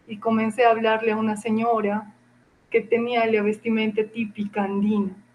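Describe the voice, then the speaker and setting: Speaking in an Andean accent, a woman has a fairly high pitch and a somewhat breathy voice. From Peru, Cusco Andes (Acomayo). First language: Quechua (speaking Spanish). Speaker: university professor and researcher. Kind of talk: interview. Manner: hesitant, many fillers.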